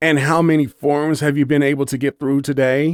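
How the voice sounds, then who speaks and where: A man does a put-on character voice in a raised, projected voice, fairly quickly, with monotone, flat intonation. His loudness stays very even, and the sound is dry and close with no echo. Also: fairly high pitch for a man. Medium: read story. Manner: pompous.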